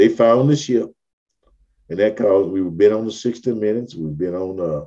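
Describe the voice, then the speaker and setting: A man speaks in a dark, mellow tone with an American accent. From US South, Africatown, Mobile, Alabama. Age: 70s. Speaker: community historian and activist. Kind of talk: interview.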